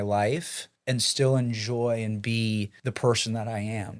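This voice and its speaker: A man talks at a very slow pace with a General American accent. His fairly even intonation comes through on a very clean recording with a silent background. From Boulder, Colorado. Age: 20s. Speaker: real estate broker. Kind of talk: podcast interview answer.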